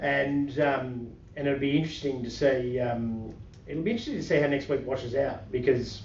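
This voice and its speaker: Audible room echo surrounds a man speaking at a fairly high pitch with an Australian accent. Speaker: market commentary podcast host. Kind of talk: casual chat. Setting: podcast recording with webcam. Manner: fast; halting, many fillers.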